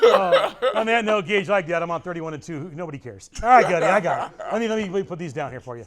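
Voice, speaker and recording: Talking very fast with lively intonation, a man with an American accent is heard over noticeable background noise. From Southern California. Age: 60s. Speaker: bowling coach. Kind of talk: casual chat. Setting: bowling training center.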